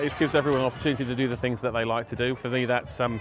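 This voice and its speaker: Over noticeable background noise, a man with a southern English accent and medium pitch talks at a very fast pace with fairly even intonation. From southern England. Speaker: street party organiser, DJ. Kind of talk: interview.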